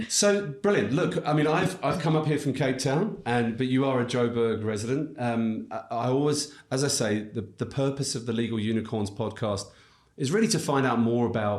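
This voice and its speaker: A man speaks with an English accent and lively intonation. Audible room echo surrounds his voice. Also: medium pitch for a man, moderate pace. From England. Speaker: podcast host, legal recruiter. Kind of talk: podcast interview. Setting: studio.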